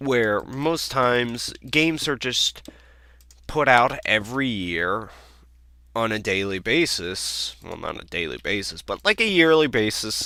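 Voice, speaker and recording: This man talks at a fairly slow pace and medium pitch, with lively intonation. His tone is bright and sharp. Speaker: gaming video creator. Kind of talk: gameplay commentary. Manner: less loud than usual; halting.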